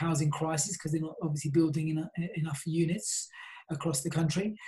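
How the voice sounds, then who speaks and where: In a South London accent, a man with a fairly high pitch speaks in a monotone, flat way with a dark, mellow tone. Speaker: property company CEO. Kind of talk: interview.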